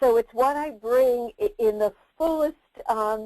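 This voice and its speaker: A woman with a New Jersey accent speaks very slowly in a fairly high voice with a dark, mellow tone. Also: dry, close sound with no echo. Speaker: career development expert and presenter. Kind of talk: webinar presentation. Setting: online webinar.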